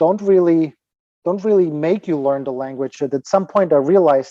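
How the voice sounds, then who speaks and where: With a Ukrainian accent, a man speaks in a dark, mellow tone at a fairly high pitch with ordinary pitch variation, and the sound is dry and close with no echo. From Ukraine. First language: Ukrainian or Russian. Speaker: fitness trainer and author. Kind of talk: podcast interview. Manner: halting, with repetitions.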